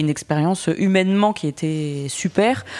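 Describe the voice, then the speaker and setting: A woman speaks at a fairly slow pace in a fairly low pitch, with ordinary pitch variation. Her tone is dark and mellow, and the recording is very clean with a silent background. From northern France, Boulogne-sur-Mer. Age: 30s. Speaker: content creator. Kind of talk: interview conversation.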